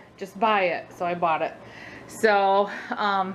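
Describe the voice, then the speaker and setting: There is light background noise behind this woman's voice. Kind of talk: casual vlog chat. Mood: relaxed, happy. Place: home room. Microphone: phone near.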